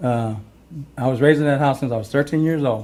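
With an American accent, a man talks at a fairly quick pace in a medium pitch. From Bisbee, Arizona. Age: 60s. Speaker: resident speaking at public comment. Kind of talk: public comment. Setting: city council meeting. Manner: halting, repeats words.

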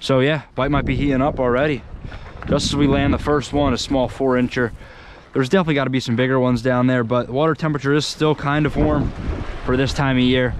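At a very fast pace and with very even loudness, a man speaks in a dry sound with no echo over noticeable background noise. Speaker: fishing vlogger. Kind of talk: casual vlog chat. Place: waterside. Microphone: phone near.

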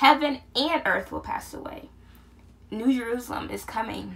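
A woman talks at a moderate pace. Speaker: vlogger. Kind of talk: casual vlog chat. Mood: earnest, animated. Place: home room. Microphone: phone near.

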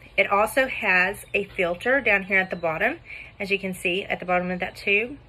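A woman talks at a fairly quick pace with fairly even intonation. Noticeable background noise runs beneath her voice. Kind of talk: product demo tutorial. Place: kitchen. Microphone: phone near.

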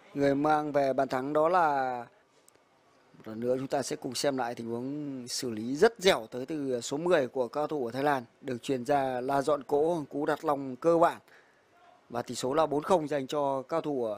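With a plain, everyday voice, a man speaks at a fairly slow pace and a fairly high pitch, keeping his intonation fairly even. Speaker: football commentator. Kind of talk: live football commentary. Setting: stadium, live broadcast.

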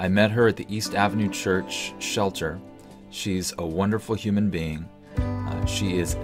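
A man is speaking. Clear music plays in the background. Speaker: evangelist. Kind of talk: casual talk to camera. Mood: warm, friendly. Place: home room. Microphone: webcam.

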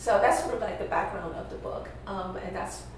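A woman's voice carries strong room echo. Light background noise sits behind it. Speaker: guest. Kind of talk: interview answer.

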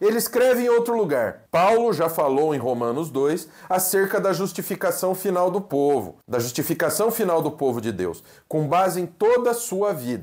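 A man's high voice with very wide pitch swings, a moderate pace and hardly any pauses, against a quiet background. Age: 40s. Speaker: pastor and theology teacher; pastor, seminary teacher. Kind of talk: lecture. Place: home room. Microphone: lapel.

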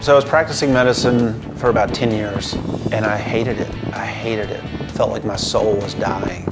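A man speaks at a fairly quick pace. Loud music plays behind him. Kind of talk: interview answer. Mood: reflective, candid. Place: home room.

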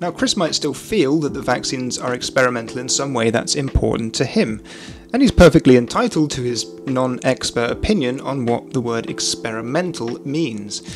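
Over clear background music, a man talks at a moderate pace with ordinary pitch variation. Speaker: commentary youtuber. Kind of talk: commentary. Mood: calm critical. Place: home room. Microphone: studio mic.

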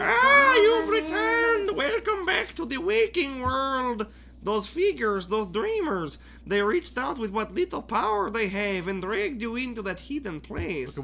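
Over clear background noise, a man puts on a character voice at an extremely high pitch, talking at a moderate pace. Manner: cool, theatrical.

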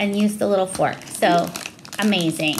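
There is noticeable background noise. Over it, a woman speaks with ordinary pitch variation. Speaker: unboxing vlogger. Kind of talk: casual vlog chat. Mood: enthusiastic, warm. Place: home room.

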